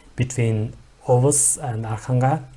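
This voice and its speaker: In a Mongolian accent, a man speaks at a medium pitch with monotone, flat intonation and a somewhat breathy sound. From Mongolia, Ulaanbaatar. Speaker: YouTuber. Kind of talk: reaction video commentary. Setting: at home. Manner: hesitant, many fillers.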